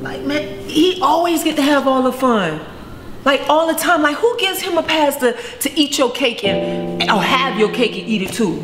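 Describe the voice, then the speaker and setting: A woman speaks at a moderate pace and a high pitch. Clear music plays in the background. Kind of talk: confessional monologue. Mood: frustrated, indignant.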